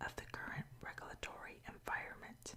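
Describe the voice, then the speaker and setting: Whispering at a moderate pace, a woman can be heard against noticeable background noise. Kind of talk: ASMR news reading. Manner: whispered; soft-spoken.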